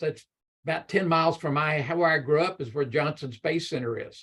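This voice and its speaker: A man with a Texan accent and a fairly high pitch. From Texas, Galveston Bay area. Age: 70s. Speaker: electrical engineer. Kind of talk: panel talk to students.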